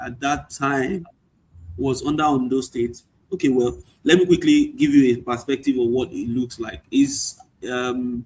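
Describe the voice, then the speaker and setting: A man with a Nigerian accent speaks at a medium pitch. He talks fairly slowly, with ordinary pitch variation. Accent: Nigerian (Yoruba) English. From Nigeria, Ado Ekiti then Lagos. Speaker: chemical engineer and author. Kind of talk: interview.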